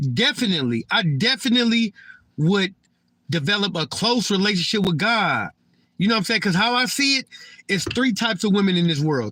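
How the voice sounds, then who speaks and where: In a very clean recording with a silent background, a man uses a raised, projected voice with a high pitch, a bright, sharp tone, very wide pitch swings and a moderate pace. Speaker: livestreamer. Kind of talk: casual livestream monologue. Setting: live stream. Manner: stuttering, repeats words.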